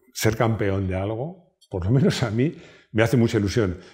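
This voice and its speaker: The voice is somewhat breathy and moves at a moderate pace over a quiet background. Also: man. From Spain. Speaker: YouTube car channel host. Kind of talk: casual personal talk to camera. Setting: at home. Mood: warm, proud, nostalgic. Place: home room. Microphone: lapel.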